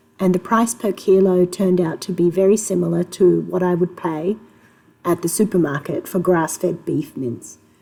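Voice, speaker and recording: With an Australian accent, a woman speaks at a moderate pace. Her tone is dark and mellow. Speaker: homemaker. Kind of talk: casual talk to camera.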